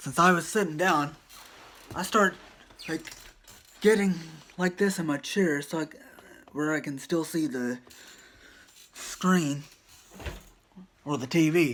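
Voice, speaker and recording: Quiet speech broken by long, frequent pauses. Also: man, fairly high pitch for a man, ordinary pitch variation, fairly slow pace. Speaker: vlogger. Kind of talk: storytelling vlog. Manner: halting, stumbling over words.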